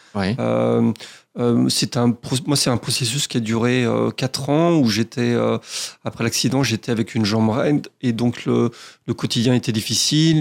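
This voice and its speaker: A man speaks at a medium pitch with ordinary pitch variation, in a plain, everyday voice. The recording is very clean, with a silent background. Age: 40s. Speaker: professional sailor and skipper. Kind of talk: radio interview. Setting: radio studio.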